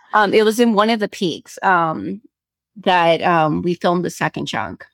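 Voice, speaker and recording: This woman speaks fairly slowly in a fairly low pitch with vocal fry and ordinary pitch variation. The recording is very clean, dry and close, with no echo and a silent background. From South Korea. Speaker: screenwriter and actress. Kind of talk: casual chat.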